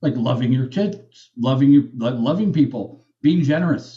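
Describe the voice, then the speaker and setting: A man speaks in an animated tone with lively intonation. His voice is somewhat breathy. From Japan. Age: 30s. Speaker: hacker. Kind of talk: podcast interview.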